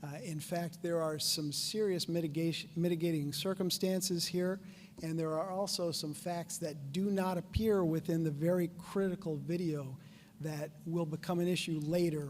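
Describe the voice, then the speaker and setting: Over music in the background, a man speaks at a high pitch with monotone, flat intonation. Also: moderate pace. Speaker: attorney. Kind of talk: opening statement at hearing. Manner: formal.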